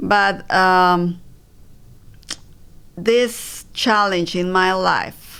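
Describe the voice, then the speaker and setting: The speaker has a Spanish accent. Pitch varies in an ordinary way. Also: woman. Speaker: breast cancer survivor and mother. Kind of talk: interview. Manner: halting.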